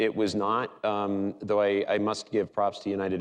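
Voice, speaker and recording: A man's fairly low-pitched voice. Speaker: cybersecurity executive, panel speaker. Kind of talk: conference panel talk.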